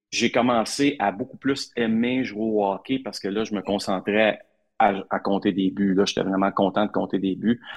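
This man has an unremarkable speaking voice, pitched fairly low and paced moderately. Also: fairly even intonation. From Quebec, Hull (Outaouais). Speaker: sports reporter. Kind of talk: interview.

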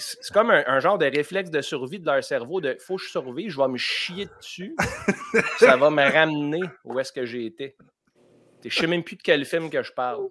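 With a Quebec accent, a man speaks at a moderate pace and fairly high pitch, with ordinary pitch variation. He leaves long, frequent pauses, and his loudness swings widely. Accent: Québécois French. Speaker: comedian. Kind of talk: comedic quiz show.

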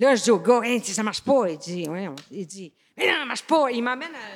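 Her voice is high and animated, with very wide pitch swings. The woman is recorded very cleanly against a silent background. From Quebec, rural Beauce-Bellechasse area. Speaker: comedian and former farmer. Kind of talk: casual chat.

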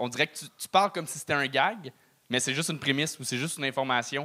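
The recording is very clean, with a silent background. A man speaks in a fairly high pitch with a bright, sharp tone and ordinary pitch variation. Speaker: podcast host, comedian. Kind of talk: casual chat. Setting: stage with audience.

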